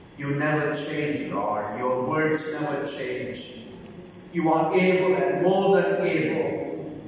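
Strong room echo and light background noise surround a woman whose very deep, low voice shows ordinary pitch variation at a very slow pace. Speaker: prayer leader in a migrant worker church. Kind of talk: fervent closing prayer and benediction at a church service. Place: church. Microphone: podium.

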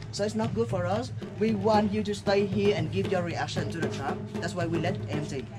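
Over loud music in the background, a man speaks at a moderate pace. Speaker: tour guide. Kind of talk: guided tour explanation. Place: street. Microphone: camera far.

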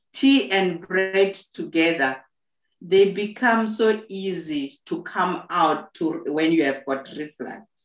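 Audible room echo fills the space around a woman speaking at a very slow pace. The background is quiet. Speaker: host sharing health tips. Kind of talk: casual conversation. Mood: earnest, advising. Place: home room. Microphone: video call.

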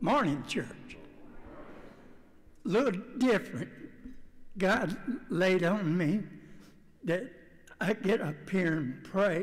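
A man uses a put-on character voice that is hoarse and high-pitched, with lively intonation. He goes at a fairly slow pace with long, frequent pauses. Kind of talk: church address.

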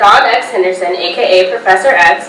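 The room echo is audible. There is light background noise. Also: woman. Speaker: event host introducing speaker. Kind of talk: formal introduction. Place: classroom. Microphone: podium.

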